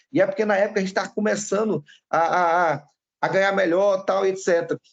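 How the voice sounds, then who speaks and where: Fairly even intonation accompanies words delivered at a fairly quick pace. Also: man, high pitch for a man. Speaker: pastor. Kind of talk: sermon. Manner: fast; intense.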